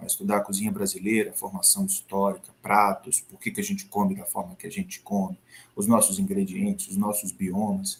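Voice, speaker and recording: A man talks at a fairly quick pace, his loudness swinging widely up and down. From Brazil, Sergipe (Northeast). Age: 40s. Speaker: chef and professor. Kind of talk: interview.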